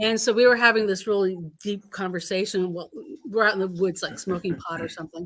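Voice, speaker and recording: The speaker has an American accent. Pitch variation is ordinary. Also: woman. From upstate New York. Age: 60s. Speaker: spiritual community member sharing stories. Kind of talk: casual chat, personal storytelling. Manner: snorting laugh when amused.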